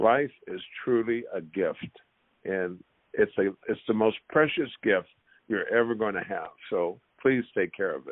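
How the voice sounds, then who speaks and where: The speech moves at a fairly slow pace. Long, frequent pauses come often. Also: man. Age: 60s. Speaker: former pro basketball player. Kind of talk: podcast interview.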